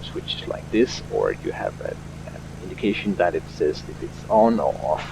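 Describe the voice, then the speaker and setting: A man talks at a fairly slow pace while noticeable background noise fills the recording. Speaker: flight simulator streamer. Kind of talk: tutorial. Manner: hesitant, many fillers.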